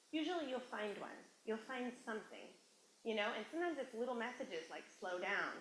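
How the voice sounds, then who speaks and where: Amid audible room echo, a woman talks fairly quickly at a high pitch. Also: lively intonation. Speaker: motivational speaker. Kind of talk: workshop talk. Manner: fast; animated.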